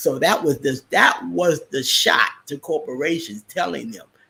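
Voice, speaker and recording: A man's fairly high, bright and sharp voice with vocal fry, very wide pitch swings and a fairly slow pace. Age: 50s. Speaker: trading educator. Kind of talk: live stream chat. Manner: casual, halting with many fillers.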